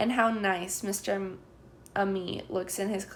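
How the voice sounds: The voice reads naturally. Its intonation stays fairly even.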